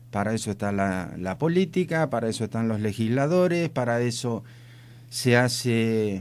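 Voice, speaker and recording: A man with a normal speaking voice keeps his pitch mid-range and lets it vary in an ordinary way. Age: 60s. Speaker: rural society representative. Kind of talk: radio interview. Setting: radio studio.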